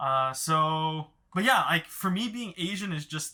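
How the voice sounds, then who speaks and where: A man's bright, sharp voice, fairly high in pitch, with lively intonation. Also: very clean recording, silent background. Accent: Mandarin. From Los Angeles, US. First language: Mandarin. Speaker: therapist, podcast co-host. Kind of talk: casual panel discussion. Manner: halting, many repeated words.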